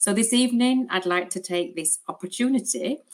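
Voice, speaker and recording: A woman talks with a British accent. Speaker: clinical educator for an ostomy supplier. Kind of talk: educational webinar presentation. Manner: hesitant with frequent fillers.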